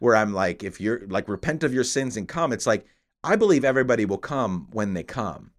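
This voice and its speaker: In a very clean recording with a silent background, a man speaks with an American accent. His medium-pitched, ordinary speaking voice has lively intonation. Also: fairly quick pace. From upstate New York. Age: 30s. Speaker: podcast host. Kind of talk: casual chat.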